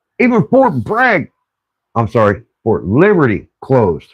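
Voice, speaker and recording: A man's voice with vocal fry and very wide pitch swings, over a quiet background. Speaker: streamer and car mechanic hobbyist. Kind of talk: casual chat.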